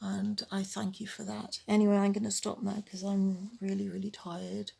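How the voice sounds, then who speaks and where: Her voice is somewhat breathy. The woman keeps a moderate pace. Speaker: vlogger with chronic illness. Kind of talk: personal vlog monologue.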